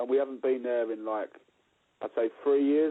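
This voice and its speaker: Speaking fairly quickly in an East London accent, a man uses a medium pitch and fairly even intonation. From East London, Dagenham. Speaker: rock musician. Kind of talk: interview. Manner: halting, many repeated words.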